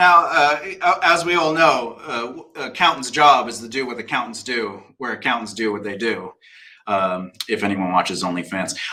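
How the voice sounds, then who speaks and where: A man with an American accent speaks in a bright, sharp tone with big swings in loudness. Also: medium pitch for a man, lively intonation. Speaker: talk show host. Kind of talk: panel discussion. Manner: fast.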